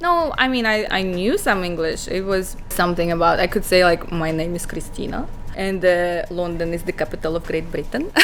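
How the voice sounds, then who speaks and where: A woman with a non-native accent speaks at a moderate pace in a fairly low pitch with fairly even intonation. Audible room echo and noticeable background noise surround her voice. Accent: foreign accent, being corrected. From Kazakhstan, Almaty. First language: Kazakh or Russian. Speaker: model. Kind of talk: podcast interview.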